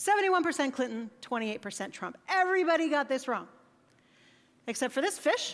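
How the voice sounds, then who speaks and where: A woman speaks with a high pitch at a fairly quick pace. Her pitch swings very widely. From United States. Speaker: conference keynote speaker. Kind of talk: conference talk. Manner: casual, conversational.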